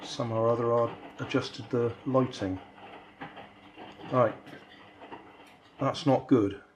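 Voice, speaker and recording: Noticeable background noise sits behind a man speaking at a medium pitch. He talks at a fairly slow pace with fairly even intonation. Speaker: DIY maker youtuber. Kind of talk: tutorial.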